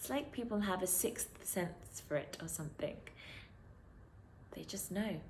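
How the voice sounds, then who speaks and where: In a British accent, a woman speaks at a fairly slow pace with lively intonation and long, frequent pauses. Room echo is audible. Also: medium pitch for a woman. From London, England. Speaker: poet. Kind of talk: spoken word poetry.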